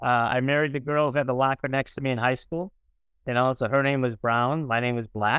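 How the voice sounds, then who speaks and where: With an American accent, a man uses an ordinary speaking voice of medium pitch and fairly even intonation at a moderate pace, in a very clean recording with a silent background and a dry, close sound with no echo. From US Midwest, East St. Louis, Illinois. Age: 60s. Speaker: writer, speaker and church leader. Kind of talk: interview conversation.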